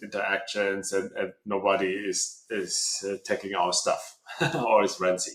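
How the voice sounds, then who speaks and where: A man with a German accent talks at a fairly slow pace. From Germany. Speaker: tech company co-founder. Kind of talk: interview. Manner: halting, many repeats and fillers.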